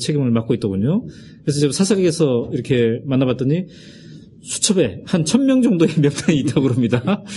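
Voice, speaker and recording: Breathy at times, a man speaks with a dark, mellow tone and fairly high pitch. He keeps a moderate pace and lively intonation. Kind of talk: interview.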